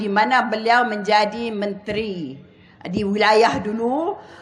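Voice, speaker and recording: Audible room echo surrounds a woman's fairly high voice. She speaks at a very slow pace. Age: 70s. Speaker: politician. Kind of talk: political rally speech.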